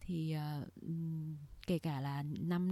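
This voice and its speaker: The voice has a dark, mellow tone and is somewhat breathy, captured in a very clean recording with a silent background. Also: woman. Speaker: podcast co-host. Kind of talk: casual chat. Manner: code-switching with English words.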